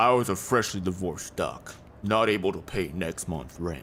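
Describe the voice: A man uses a put-on character voice with a very deep, low pitch. He moves at a moderate pace over clear background noise.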